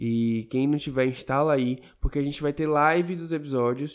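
A man talks at a fairly quick pace with fairly even intonation and a fairly high pitch, in an ordinary speaking voice. The recording is very clean, with a silent background. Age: 20s. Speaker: podcast co-host. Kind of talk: casual chat.

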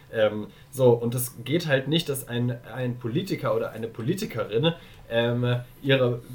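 At a fairly slow pace, a man talks in an ordinary speaking voice with medium pitch and ordinary pitch variation. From Germany, Darmstadt. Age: 20s. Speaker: volunteer in youth political organization. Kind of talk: casual chat.

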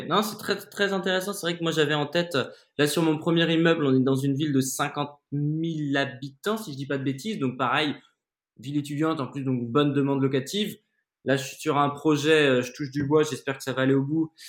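Talking at a fairly quick pace, this man has a fairly high pitch and ordinary pitch variation. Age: 30s. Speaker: podcast host and investor. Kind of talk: interview. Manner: animated.

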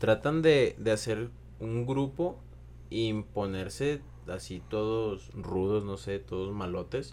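With a Mexican accent, a man talks very slowly in a dark, mellow tone at a medium pitch, varying it in an ordinary way. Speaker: podcast guest. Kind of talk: casual discussion.

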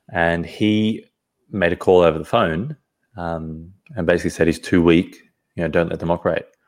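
Speaking with an Australian accent, a man uses a very deep, low pitch, a moderate pace and fairly even intonation. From Sydney, Australia. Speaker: podcast guest. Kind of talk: casual interview. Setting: video call.

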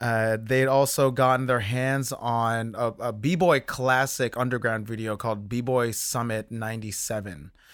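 A man with an American accent uses a normal speaking voice, speaking at a fairly slow pace with a medium pitch and fairly even intonation, on a very clean recording with a silent background. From New Jersey (South Orange). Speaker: design executive and illustrator. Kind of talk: interview conversation. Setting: in office.

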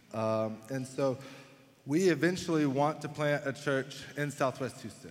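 With a Texan accent, a man speaks at a fairly high pitch with ordinary variation. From Texas, Dallas area. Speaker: pastor. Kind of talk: sermon. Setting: church.

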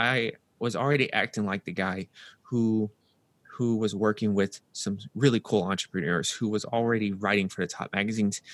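In a very clean recording with a silent background and a dry, close sound with no echo, a man with an American accent speaks at a moderate pace. He has a normal speaking voice, fairly low in pitch, with fairly even intonation. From US South, Nashville, Tennessee. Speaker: health and performance coach. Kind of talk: interview.

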